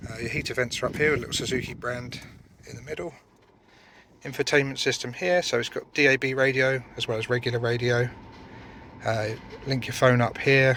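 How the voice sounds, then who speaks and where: With a British accent, a man talks at a fairly quick pace in fairly even intonation, broken by long, frequent pauses. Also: medium pitch for a man. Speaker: used car dealer. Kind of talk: car walkaround video. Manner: hesitant, stumbling over words.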